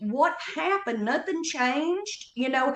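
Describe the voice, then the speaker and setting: A high-pitched woman's voice with lively intonation and audible room echo. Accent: Southern Appalachian. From North Carolina Appalachian foothills. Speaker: comedian. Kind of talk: casual chat.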